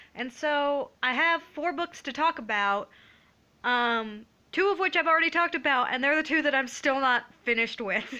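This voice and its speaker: Against a quiet background, a woman with a high pitch and a bright, sharp tone projects a raised voice with lively intonation at a moderate pace. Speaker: book vlogger. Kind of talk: casual vlog book review.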